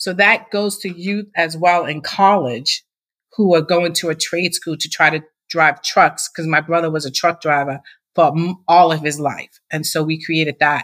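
In an American accent, a woman with an unremarkable speaking voice talks at a moderate pace, her fairly low pitch carrying fairly even intonation. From Massachusetts. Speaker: nonprofit founder. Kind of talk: interview.

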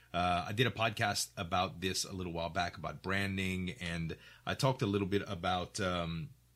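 A man speaks with a very deep, low pitch and a bright, sharp tone on a very clean recording with a silent background. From Louisiana. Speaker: podcast host and streamer. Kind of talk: casual interview chat.

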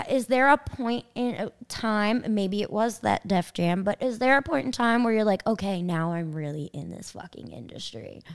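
The speech moves at a moderate pace with hardly any pauses, in a Long Island accent. The intonation is lively and the tone animated. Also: woman, fairly high pitch for a woman. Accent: New York (Long Island). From Long Island, New York. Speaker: podcast host and DJ. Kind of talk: interview.

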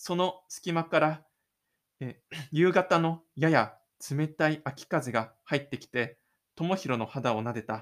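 A man speaks at a very slow pace, his pitch fairly high with ordinary variation. The recording is very clean, with a silent background. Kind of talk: audio drama narration with in-character inner monologue. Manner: dramatic, expressive storytelling, shifting to a casual chatty tone when closing the show; self-deprecating, gloomy inner-monologue delivery for the lonely protagonist.

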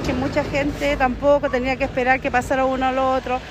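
With noticeable background noise behind her, a woman speaks quite fast in a high voice with monotone, flat intonation. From Chile, Valparaíso region (Limache area). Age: 40s. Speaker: neighborhood association president. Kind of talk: street interview.

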